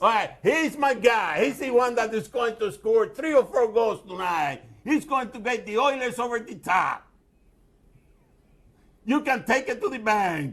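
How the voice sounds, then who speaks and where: A man's extremely high pitch, lively intonation and confident tone, at a fairly slow pace. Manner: confident, predicting, sports-talk.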